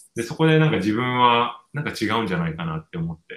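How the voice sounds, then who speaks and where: A man speaks with a fairly low pitch. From Japan. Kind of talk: interview conversation.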